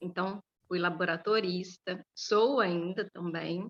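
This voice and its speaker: A woman talks at a medium pitch with a bright, sharp tone. Her intonation is fairly even. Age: 30s. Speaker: school librarian. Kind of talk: interview. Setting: school library, video interview.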